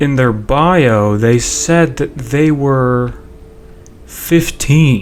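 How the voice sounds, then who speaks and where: A man speaks at a very slow pace with ordinary pitch variation, over noticeable background noise and audible room echo. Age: 20s. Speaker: video game streamer. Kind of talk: casual live gameplay commentary. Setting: live stream with game audio. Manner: rambling, halting with false starts.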